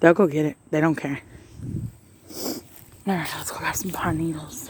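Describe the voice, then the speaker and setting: Background noise is clearly noticeable. The talking proceeds at a moderate speed. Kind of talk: casual talk to pets while filming.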